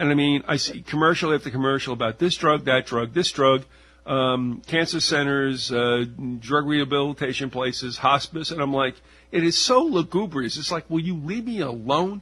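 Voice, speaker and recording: The voice moves at a moderate pace with ordinary pitch variation and a bright, sharp tone. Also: man, fairly high pitch for a man. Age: 60s. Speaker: radio host. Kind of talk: interview conversation.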